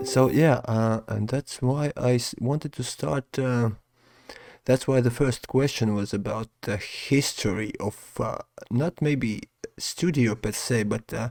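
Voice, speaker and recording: Speaking quietly at a fairly slow pace, a man uses a medium pitch in a very clean recording with a silent background and a dry, close sound with no echo. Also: ordinary pitch variation. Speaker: podcast host. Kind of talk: casual interview. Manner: quiet, subdued.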